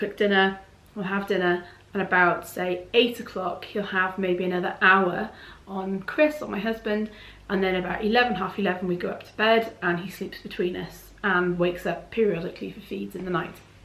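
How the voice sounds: A woman's medium-pitched, fairly bright voice with fairly even intonation, a moderate pace and audible room echo.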